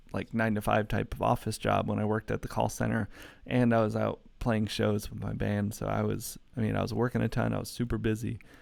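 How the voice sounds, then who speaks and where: A man with a Midwestern American accent is heard on a very clean recording with a silent background. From US Midwest, Metro Detroit, Michigan. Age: 20s. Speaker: YouTuber. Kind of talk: live stream Q&A. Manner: casual, many fillers.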